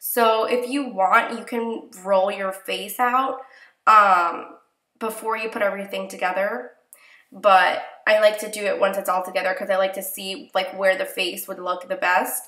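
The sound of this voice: Audible room echo surrounds a woman speaking at medium pitch with little pitch movement. Her tone is fairly bright and her pace fairly slow.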